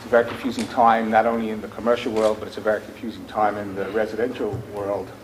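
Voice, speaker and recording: Very fast speech from a man of medium pitch with a strong New York accent, over noticeable background noise. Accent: New York accent, still strong. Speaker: home builder executive, panelist. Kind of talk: panel talk.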